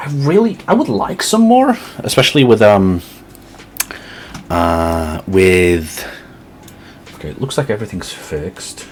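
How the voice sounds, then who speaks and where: A man with a slight British accent speaks with lively intonation over noticeable background noise. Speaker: streamer building model kits. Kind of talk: casual live-stream chat. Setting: live stream. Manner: halting, many restarts and fillers.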